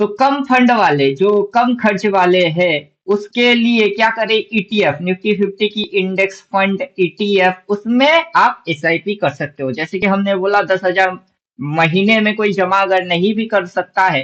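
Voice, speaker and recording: A man speaks at a high pitch with ordinary pitch variation. He uses hardly any pauses. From Bengal, India. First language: Bengali (speaking Hindi). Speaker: stock market trading educator. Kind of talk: tutorial. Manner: halting, self-correcting.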